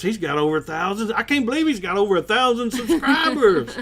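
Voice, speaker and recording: A man with an American accent speaks at a fairly quick pace with lively intonation over noticeable background noise. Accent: Southern, Arkansas-like. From US South, Kennett, Missouri bootheel. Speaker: cooking show host. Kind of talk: casual chat.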